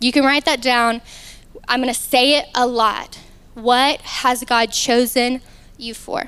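The speaker has a Southern US accent and a bright, sharp tone. Delivery is very slow, with fairly even intonation. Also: woman. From Arkansas. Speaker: youth ministry speaker. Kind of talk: sermon. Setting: stage with audience.

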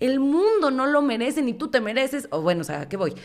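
Very fast, animated speech in a Mexican accent, on a very clean recording with a silent background. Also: woman. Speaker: podcast host. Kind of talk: motivational monologue.

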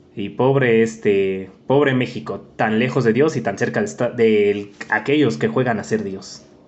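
This man talks in an ordinary speaking voice at a medium pitch, with ordinary pitch variation. His pace is fairly slow, with hardly any pauses. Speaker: podcast host. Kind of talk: casual chat.

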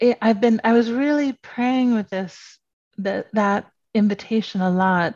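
It is a normal speaking voice, with ordinary pitch variation at a fairly slow pace. The sound is dry and close with no echo, over a quiet background. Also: woman, fairly high pitch for a woman. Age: 50s. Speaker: writer and spiritual teacher. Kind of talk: casual chat.

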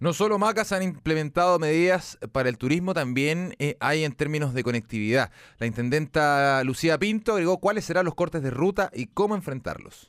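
A man with a Chilean accent speaks at a fairly high pitch and a moderate pace, his intonation lively, on a very clean recording with a silent background. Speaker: radio host. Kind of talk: radio talk show.

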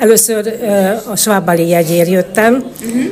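A woman's medium-pitched voice at a very slow pace with ordinary pitch variation, with noticeable background noise and audible room echo. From Hungary, Tolna county (Szálka). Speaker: choir member. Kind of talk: interview.

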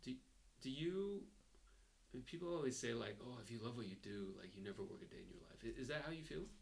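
This man talks at a fairly quick pace with a Chinese accent, very wide pitch swings and long, frequent pauses. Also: medium pitch for a man. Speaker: podcast host. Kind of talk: interview conversation. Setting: video call.

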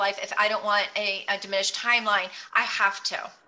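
Over noticeable background noise, a woman speaks at a fairly quick pace with monotone, flat intonation. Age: 50s. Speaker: intermittent fasting advocate. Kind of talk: casual chat. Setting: call.

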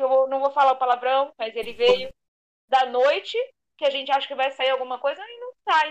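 Her pitch is high, and her intonation stays fairly even at a moderate pace. This woman's loudness swings widely. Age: 30s. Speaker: fan podcast co-host, fashion designer. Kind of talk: casual chat.

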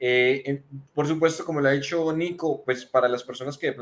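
This man has a normal speaking voice at a medium pitch. His pitch varies in an ordinary way. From Colombia, Manizales. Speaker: software developer and tech community speaker. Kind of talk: casual tech discussion. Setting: video call.

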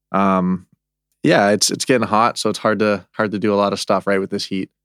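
At a very fast pace, a man with an Albertan accent talks in a fairly low pitch. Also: very clean recording, silent background. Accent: Canadian (Alberta). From Canada (Calgary). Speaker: professional hockey goaltender. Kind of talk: casual interview.

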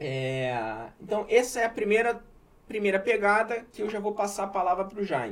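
The man's voice is high-pitched, with lively intonation. He keeps a moderate pace. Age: 70s. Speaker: podcast host. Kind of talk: casual chat. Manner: halting.

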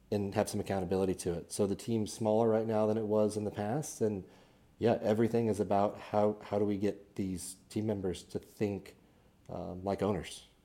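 A man's fairly low voice with a Midwestern American accent, monotone, flat intonation and a moderate pace. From Kansas City area, Missouri. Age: 30s. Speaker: business owner, CEO. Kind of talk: casual interview. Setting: studio.

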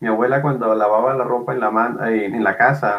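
A man speaks at a fairly quick pace in a normal speaking voice, his intonation fairly even. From Colombian Caribbean, Barranquilla. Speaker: literature professor and researcher. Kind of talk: interview.

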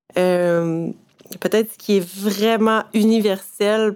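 The speaker has a Quebec accent. The intonation stays monotone and flat. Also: woman. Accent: Québécois French. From Quebec, Eastern Townships. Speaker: photographer. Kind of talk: interview. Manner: halting, frequent hesitations.

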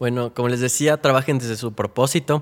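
Speaking at a fairly quick pace, a man uses a medium pitch and fairly even intonation in an unremarkable speaking voice. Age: 20s. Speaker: youth activist. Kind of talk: interview.

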